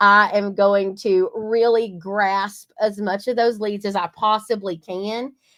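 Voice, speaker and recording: A woman with a strong Southern US accent speaks in a fairly high pitch. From East Texas. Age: 40s. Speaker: marketing agency co-owner. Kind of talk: webinar presentation. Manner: animated.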